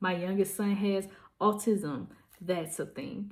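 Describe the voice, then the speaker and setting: A woman speaks in a somewhat breathy voice. Her intonation stays fairly even. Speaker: vlogger and small business owner. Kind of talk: casual vlog monologue. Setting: at home packing orders.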